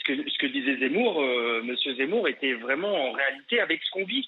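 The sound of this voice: A man talks at a fairly quick pace with a medium pitch and big pitch swings. His voice has a slightly husky edge.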